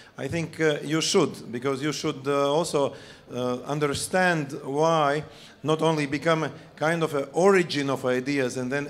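Fairly even in intonation, a man talks at a moderate pace. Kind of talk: conference speech. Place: stage. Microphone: handheld.

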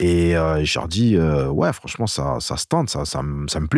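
Very wide pitch swings mark a man's voice, heard on a very clean recording with a silent background and a dry, close sound with no echo. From France, Marseille. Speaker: rapper. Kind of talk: casual interview.

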